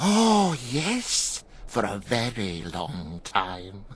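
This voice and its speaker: A low, put-on character voice speaks at a very slow pace. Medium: video game. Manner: halting, giggling.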